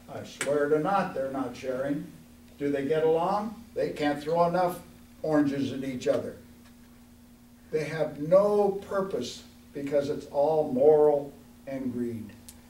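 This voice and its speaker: Speaking at a fairly slow pace with long, frequent pauses, a man with a fairly high voice and ordinary pitch variation is heard against audible room echo. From Oregon. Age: 80s+. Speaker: congressional candidate, war veteran. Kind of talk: candidate forum speech.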